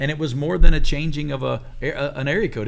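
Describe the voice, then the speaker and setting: This man speaks with an Alabama accent and some vocal fry. His pace is fairly quick, with ordinary pitch variation. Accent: Southern (Alabama), noticeable. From Alabama, US South. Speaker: pastor and church planter. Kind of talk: casual panel discussion.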